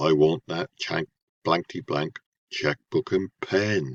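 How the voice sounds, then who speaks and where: A man with lively intonation at a fairly slow pace, in a dry, close sound with no echo. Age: 70s. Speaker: retired theatre manager and TV extra. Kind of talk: self-introduction.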